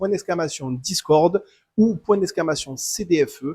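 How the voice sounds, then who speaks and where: In a southern French accent, a man speaks at a high pitch and a fairly slow pace. The sound is dry and close, with no echo. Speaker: tournament organizer. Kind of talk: livestream announcement. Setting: live stream. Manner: hesitant, many fillers.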